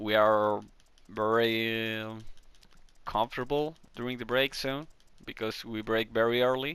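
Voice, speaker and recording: A man with a Chilean accent speaks at a fairly slow pace. His tone is bright and sharp, with fairly even intonation. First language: Spanish. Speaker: gaming video creator. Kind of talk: tutorial. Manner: halting.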